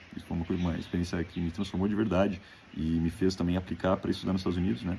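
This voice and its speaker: In a very deep, low pitch, a man speaks with a dark, mellow tone, somewhat breathy and with fairly even intonation. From Brazil, Rio Grande do Sul (Novo Hamburgo). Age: 20s. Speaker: graduate student. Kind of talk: self-presentation video for an application.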